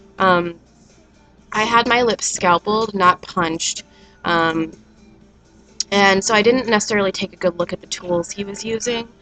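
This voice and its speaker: Music plays behind a woman speaking at a moderate pace with fairly even intonation. She pauses often and at length. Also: medium pitch for a woman. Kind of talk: casual talk to camera. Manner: hesitant, many fillers.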